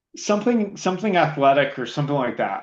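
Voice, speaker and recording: A man talks loudly at a fairly quick pace, his pitch swinging very widely. Vocal fry runs through his voice. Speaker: IT director. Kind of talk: interview.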